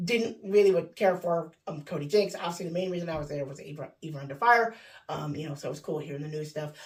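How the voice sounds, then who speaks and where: A woman speaks very fast in a fairly low, somewhat breathy voice. Her pitch varies in an ordinary way, while her loudness swings widely. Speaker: vlogger. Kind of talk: casual vlog talk. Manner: hesitant, many fillers.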